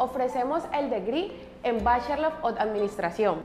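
A woman speaks at a high pitch and a moderate pace with lively intonation. Faint music plays in the background, and room echo is audible. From Colombia; Cali, Colombia. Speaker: student services staff member. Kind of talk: campus tour guide talk to camera. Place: office. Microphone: lapel.

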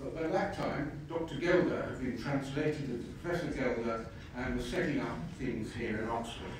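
Against light background noise and strong room echo, a man talks at a moderate pace with ordinary pitch variation. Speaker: invited lecturer. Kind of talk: lecture. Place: hall. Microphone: camera far.

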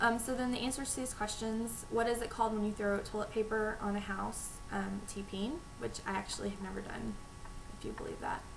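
A woman speaks fairly quickly in a Texan accent, her pitch fairly high and her intonation fairly even. Noticeable background noise sits behind her. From Texas. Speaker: vlogger. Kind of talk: casual talk to camera. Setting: home recording, low-volume microphone. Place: home room. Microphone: webcam.

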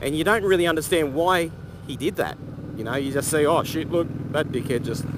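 A man speaks at a fairly quick pace as noticeable background noise plays behind him. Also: ordinary pitch variation, dry sound with no echo. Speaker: motorcycle vlogger. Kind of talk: casual vlog chat. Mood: relaxed, opinionated, some swearing. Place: motorbike. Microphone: helmet.

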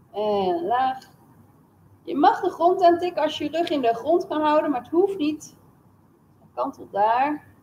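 A woman with a high pitch and a dark, mellow tone speaks at a fairly slow pace, her loudness swinging a lot. Light background noise is present. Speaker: fitness instructor. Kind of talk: exercise class instruction in Dutch. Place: gym.

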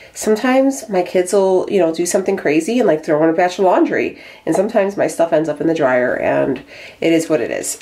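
A woman speaks at a moderate pace with a fairly low pitch. Her tone is slightly mellow, and her intonation is lively.

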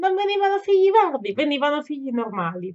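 The background stays quiet as a woman talks. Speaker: gaming vlogger. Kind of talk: casual vlog chat. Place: home room. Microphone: webcam.

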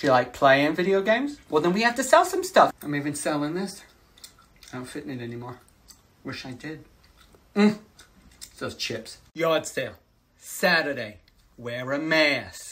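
The speaker moves at a moderate pace with long, frequent pauses, very wide pitch swings and big shifts in loudness. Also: woman, very deep, low pitch for a woman. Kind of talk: comedic sketch monologue. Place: home room. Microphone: phone near.

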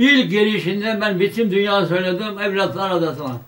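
Speaking at a very slow pace, the man uses a high-pitched voice. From Yugoslavia. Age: 80s+. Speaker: World War II veteran. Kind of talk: interview answer. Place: home room.

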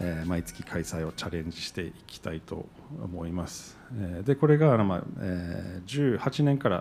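A man with a very deep, low pitch talks at a fairly slow pace, his pitch swinging very widely. His loudness shifts a great deal, and there is light background noise. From New Jersey, US. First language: English (speaking Japanese). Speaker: event organizer, business owner; panelist. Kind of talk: panel discussion. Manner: halting. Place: hall. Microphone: handheld.

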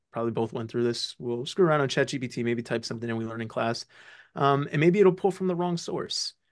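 Against a quiet background, a man with a plain, everyday voice speaks at a medium pitch with ordinary pitch variation. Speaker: medical student; guest. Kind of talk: casual interview. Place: home room. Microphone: video call.

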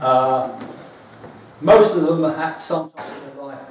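Light background noise and audible room echo come through as a man speaks. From London East End; London. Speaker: folk custom founder, former teacher; former teacher. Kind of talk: lecture. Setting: stage with audience. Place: hall. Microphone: camera far.

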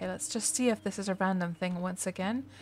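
A woman with a Canadian accent, relaxed in tone, with ordinary pitch variation and music in the background. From Canada. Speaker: game streamer. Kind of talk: gameplay livestream commentary. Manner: relaxed, thinking aloud.

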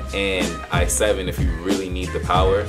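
While a man talks, music is clearly heard behind him. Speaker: student vlogger. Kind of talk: casual vlog chat. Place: home room.

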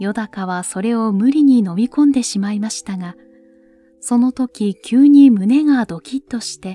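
A woman at a fairly high pitch with ordinary pitch variation, in a dry, close sound with no echo and music in the background. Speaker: narrator. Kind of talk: literary story reading. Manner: soft-spoken, slow.

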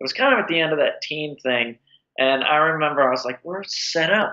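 A man with an American accent, an unremarkable speaking voice, a fairly high pitch and a moderate pace. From Washington D.C. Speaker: character actor. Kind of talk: casual interview.

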